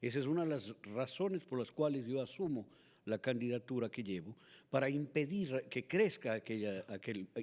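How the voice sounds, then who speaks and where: This man has a plain, everyday voice with lively intonation. He talks at a moderate pace in a medium pitch. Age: 60s. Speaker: political candidate. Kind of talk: political interview. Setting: TV and radio studio.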